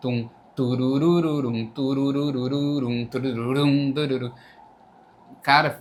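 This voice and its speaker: Medium-pitched male speech at a very slow pace, with long, frequent pauses, monotone, flat intonation, and noticeable background noise. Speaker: band bassist. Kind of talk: casual chat.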